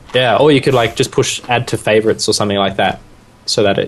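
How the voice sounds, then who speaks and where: A man at medium pitch, talking at a very fast pace. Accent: Australian. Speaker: podcast co-host. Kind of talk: casual chat.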